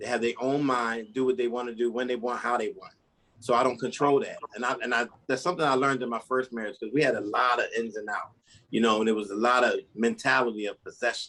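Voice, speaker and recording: A man with an American accent, medium pitch, bright, sharp tone, very fast pace, and fairly even intonation. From US Northeast, Philadelphia. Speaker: polygamist author, interview guest. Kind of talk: podcast interview.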